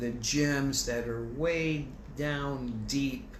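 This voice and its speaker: Ordinary pitch variation against audible room echo. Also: man. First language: French. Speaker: bible teacher. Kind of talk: bible study lecture. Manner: animated; conversational.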